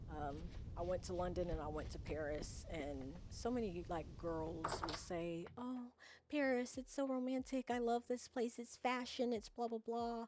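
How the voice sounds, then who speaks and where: Using a plain, everyday voice, a woman with an American accent speaks fairly slowly at a fairly high pitch with lively intonation. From USA. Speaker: video game streamer. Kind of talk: casual chat. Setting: live stream.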